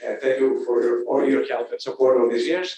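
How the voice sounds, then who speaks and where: A man speaks with a Greek accent, and room echo is audible. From Greece. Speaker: university dean. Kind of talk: ceremonial speech. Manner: halting.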